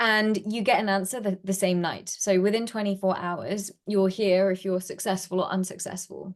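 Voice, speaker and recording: In an American accent, a woman speaks with flat, monotone intonation and hardly any pauses. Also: medium pitch for a woman, moderate pace. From UK. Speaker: startup founder and CEO. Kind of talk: interview. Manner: casual, filler-heavy.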